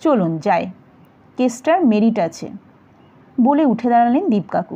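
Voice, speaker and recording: Her voice is high and dark, mellow in tone, and this woman's pitch swings very widely. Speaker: audiobook narrator. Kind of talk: detective novel reading. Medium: read story.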